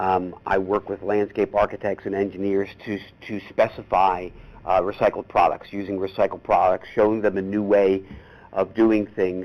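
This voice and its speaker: A man talks in a Philadelphia accent with monotone, flat intonation. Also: fairly low pitch for a man, moderate pace. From US Northeast, Philadelphia. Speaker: horticulturist and compost consultant. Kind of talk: lecture.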